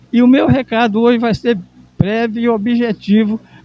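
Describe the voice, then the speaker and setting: The sound is dry and close, with no echo. A man speaks in a dark, mellow tone. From Brazil, Maranhão. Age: 70s. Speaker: veteran journalist and cooperative founder. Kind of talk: interview. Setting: event venue at a symposium.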